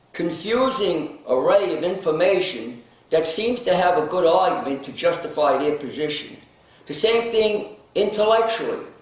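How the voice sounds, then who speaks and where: A man's high-pitched voice with lively intonation, noticeable background noise and audible room echo. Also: moderate pace. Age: 80s+. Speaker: nutrition counselor and wellness speaker. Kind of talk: interview monologue. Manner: halting, with many fillers.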